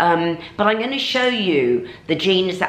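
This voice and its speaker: At a moderate pace, a woman speaks in a fairly low pitch with audible room echo. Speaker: fashion vlogger. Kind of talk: casual vlog chat. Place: home room. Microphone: camera far.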